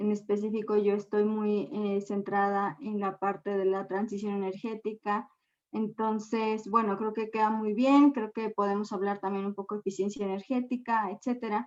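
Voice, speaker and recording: Someone with a Mexican accent speaks at a moderate pace with fairly even intonation and hardly any pauses. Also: woman, medium pitch for a woman. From Mexico. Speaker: gender and energy expert. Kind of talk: lecture.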